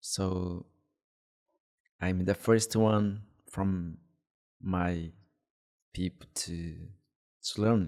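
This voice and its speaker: At a very slow pace with long, frequent pauses, a man speaks in a very deep, low pitch and a monotone, flat intonation. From Brazilian Amazon. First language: Huni Kuin language. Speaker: apprentice shaman. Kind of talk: interview. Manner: halting.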